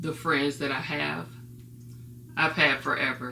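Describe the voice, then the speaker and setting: A woman's voice with a bright, sharp tone, carrying audible room echo. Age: 40s. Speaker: vlogger with ADHD. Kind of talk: personal talk to camera. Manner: hesitant, many fillers.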